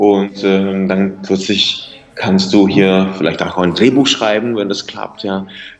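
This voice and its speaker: Someone with a Czech accent speaks at a very slow pace with big swings in loudness as music plays in the background. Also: man, fairly low pitch for a man. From Czech Republic, northeastern Bohemia. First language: Czech (speaking German). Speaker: singer and writer. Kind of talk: interview. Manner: halting, repeats words.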